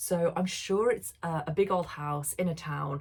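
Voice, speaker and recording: She speaks in a somewhat breathy voice. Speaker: booktuber. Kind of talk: casual book chat.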